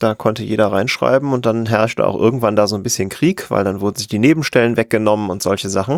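A man at a very fast pace, dry, close sound with no echo. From western Germany, near Cologne. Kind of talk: casual interview. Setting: remote call.

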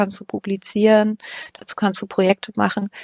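A woman with a medium pitch speaks at a moderate pace. The sound is dry and close, with no echo. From Thuringia, eastern Germany (Weimar). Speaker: podcast researcher. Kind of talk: casual interview. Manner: hesitant, many fillers.

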